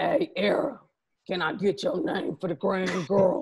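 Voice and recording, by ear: Putting on a raspy character voice, a woman speaks fairly slowly at medium pitch.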